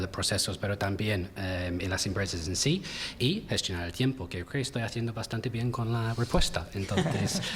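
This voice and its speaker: A man is heard speaking. His words come with an English accent. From England. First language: English (speaking Spanish). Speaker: talent acquisition recruiter. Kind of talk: panel discussion. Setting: round table at a university event.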